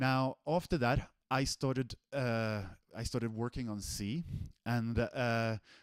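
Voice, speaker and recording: A man speaks with a Swedish accent at a medium pitch. The sound is dry and close, with no echo. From Sweden. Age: 40s. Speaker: software developer, technical director. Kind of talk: online presentation. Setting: live stream.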